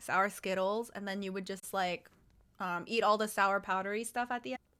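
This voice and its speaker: Loud and animated, a woman speaks in a bright, sharp, medium-pitched voice. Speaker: streamer. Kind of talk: casual chat.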